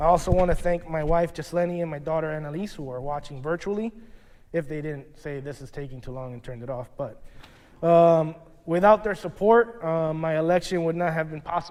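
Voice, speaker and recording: Speaking at a fairly quick pace, a man with a fairly high pitch shows big swings in loudness. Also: ordinary pitch variation. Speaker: newly installed lodge master. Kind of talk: formal acceptance speech. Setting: lodge room ceremony, also streamed. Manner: fast.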